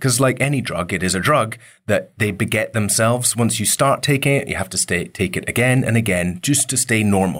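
A man with a Scottish accent at a medium pitch and a fairly quick pace, ordinary pitch variation, on a very clean recording with a silent background. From Scotland, Isle of Mull. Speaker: entrepreneur, company co-founder. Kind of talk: interview.

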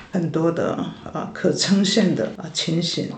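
There is audible room echo and noticeable background noise around a woman speaking at a fairly low pitch. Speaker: church worker, pastor's wife. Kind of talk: interview testimony.

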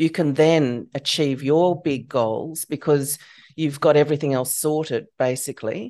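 The voice has a dark, mellow tone and an Australian accent, moving at a fairly slow pace. Intonation stays fairly even, over a quiet background. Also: woman. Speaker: psychologist and podcast host. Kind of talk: interview; scripted disclaimer.

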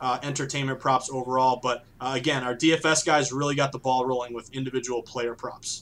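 At a fairly quick pace, a man with an American accent talks in a medium pitch with monotone, flat intonation. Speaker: sports betting author. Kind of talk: podcast interview.

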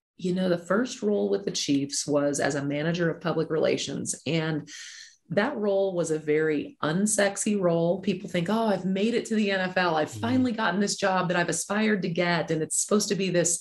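A fairly low-pitched, somewhat breathy woman's voice at a fairly quick pace with ordinary pitch variation. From moved around; Alabama and Nebraska. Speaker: sports executive. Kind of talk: interview.

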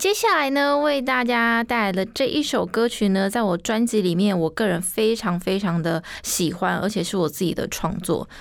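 A woman's normal speaking voice, medium in pitch, with lively intonation, a moderate pace, hardly any pauses and very even loudness, on a very clean recording with a silent background. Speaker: singer. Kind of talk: radio DJ presentation.

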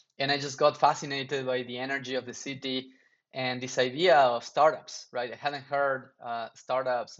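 In a Spanish accent, a man of medium pitch talks with monotone, flat intonation. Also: big swings in loudness. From Argentina. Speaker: startup founder. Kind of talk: interview.

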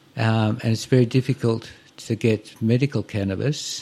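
Somewhat breathy and dark, mellow in tone, a man speaks at medium pitch. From Brisbane, West End. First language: not English. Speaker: mayoral candidate. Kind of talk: interview.

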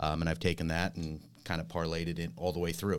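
In a very clean recording with a silent background, a man with a very deep, low voice and vocal fry talks at a fairly quick pace. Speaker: security company executive. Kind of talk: casual interview.

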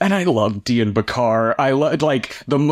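With an American accent, a man speaks at a moderate pace. He has an unremarkable speaking voice at a medium pitch. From Springfield, Illinois. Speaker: film critic. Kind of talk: casual chat.

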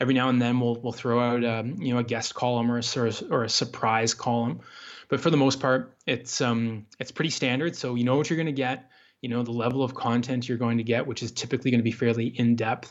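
A man speaks at a very fast pace. His medium-pitched voice stays in a monotone, flat intonation. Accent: Canadian. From Canada, rural Ontario. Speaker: mountain hunting magazine editor. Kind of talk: interview. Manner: halting, many fillers.

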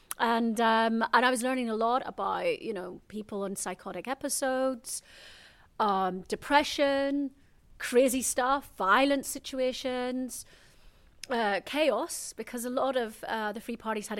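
Captured in a very clean recording with a silent background, a woman speaks slowly-ish at a high pitch, with ordinary pitch variation and big swings in loudness. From Northern Ireland, Belfast. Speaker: spiritual teacher. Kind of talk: casual chat. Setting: eco hotel in the jungle, Mexico.

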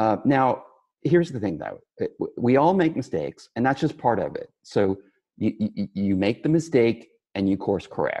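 Against a quiet background, a man with an American accent talks at a moderate pace and a medium pitch, his dark, mellow tone carrying vocal fry and very wide pitch swings. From West Texas. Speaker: architect. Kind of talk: interview.

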